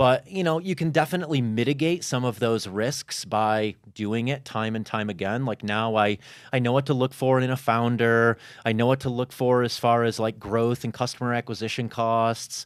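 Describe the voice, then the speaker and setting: Heard on a very clean recording with a silent background, a man with an American accent and an ordinary speaking voice talks at a moderate pace with ordinary pitch variation. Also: medium pitch for a man. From Chicago, US Midwest. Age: 40s. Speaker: entrepreneur and fitness content creator. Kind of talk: podcast interview. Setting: studio.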